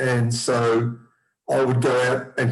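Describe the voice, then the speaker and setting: A man of medium pitch with an Australian accent. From Australia, Melbourne. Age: 60s. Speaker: person with haemophilia. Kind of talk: personal testimony. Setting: zoom video call.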